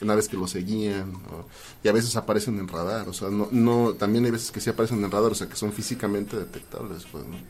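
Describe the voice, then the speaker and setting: A man with a Mexican accent speaks at a very fast pace in a fairly low pitch, his intonation fairly even and his loudness swinging widely. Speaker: video editor, UFO enthusiast. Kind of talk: casual chat.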